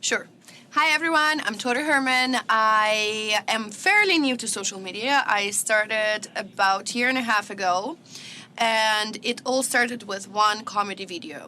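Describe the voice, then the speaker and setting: A woman speaks in a fairly high pitch with a Russian accent. There is noticeable background noise. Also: ordinary pitch variation, moderate pace. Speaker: social media comedian. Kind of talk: podcast interview. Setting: studio.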